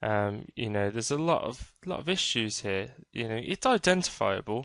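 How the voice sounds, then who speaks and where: Someone speaks at a fairly slow pace with a British accent against a quiet background. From Britain. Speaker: 3D game art tutor. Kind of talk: screen-recorded tutorial. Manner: casual, many fillers and hesitations.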